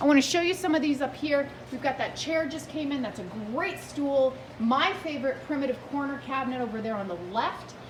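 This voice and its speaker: A high-pitched woman in an animated tone, fairly quick pace, and ordinary pitch variation, with audible room echo and noticeable background noise. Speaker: antique booth vendor. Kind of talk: video tour of antique booth. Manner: fast.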